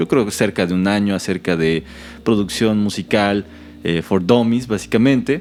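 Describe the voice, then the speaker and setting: With a Mexican accent, a man speaks in a fairly low pitch. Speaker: podcast host. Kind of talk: casual conversation.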